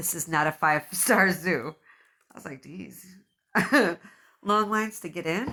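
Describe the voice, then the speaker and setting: A woman's fairly low voice, bright and sharp in tone, moves at a moderate pace with ordinary pitch variation, big swings in loudness and long, frequent pauses. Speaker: podcast host. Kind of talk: casual chat; reading aloud.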